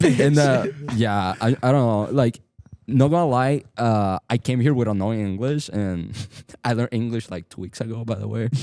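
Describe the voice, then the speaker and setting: Music plays in the background as a man with a Venezuelan accent speaks at a moderate pace and medium pitch, with ordinary pitch variation. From Venezuela, Maracaibo. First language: Spanish. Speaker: jiu-jitsu competitor. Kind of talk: casual chat.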